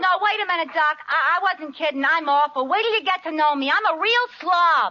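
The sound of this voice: In a put-on character voice with a New York accent, a woman talks at a fairly quick pace with lively intonation. Her pitch is extremely high and her tone is bright and sharp.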